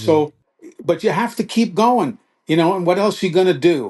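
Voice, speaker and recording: A man with an ordinary speaking voice, at a moderate pace with ordinary pitch variation, over a quiet background. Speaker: veteran sportscaster and author. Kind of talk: casual interview answer, storytelling.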